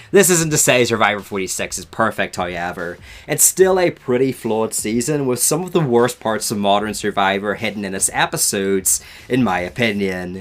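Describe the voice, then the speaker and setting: In a Northern Irish accent, a man speaks at a moderate pace with a fairly low pitch and lively intonation. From Northern Ireland. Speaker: reality TV reviewer. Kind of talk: video review commentary.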